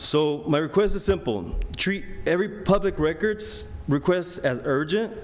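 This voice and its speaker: With a non-native accent, a man speaks at a moderate pace and a high pitch with ordinary pitch variation. Audible room echo and noticeable background noise fill the recording. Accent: foreign. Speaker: resident making public comment. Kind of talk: public comment speech. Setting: city council meeting. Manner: halting, with fillers.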